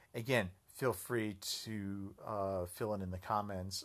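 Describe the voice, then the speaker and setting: A man with an American accent, fairly low pitch and fairly even intonation, on a very clean recording with a silent background. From United States. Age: 40s. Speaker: podcast host. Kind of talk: solo political commentary monologue. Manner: halting, many fillers.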